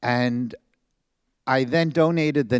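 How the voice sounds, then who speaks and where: A man with a New York accent, in a dry, close sound with no echo, on a very clean recording with a silent background. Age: 70s. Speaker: audience member. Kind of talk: audience question at book talk.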